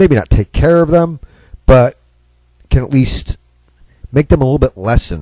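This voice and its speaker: This man's voice has a dry, close sound with no echo. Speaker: radio show host. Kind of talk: live talk radio monologue. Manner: casual, chatty, energetic.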